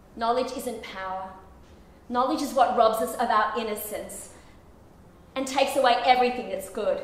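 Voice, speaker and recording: Pitched high, a woman speaks with fairly even intonation and long, frequent pauses, with audible room echo. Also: moderate pace. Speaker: actor performing a monologue. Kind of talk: theatrical monologue, confessional and intense, spoken straight to a listener. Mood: intense, emotional. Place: stage. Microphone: camera far.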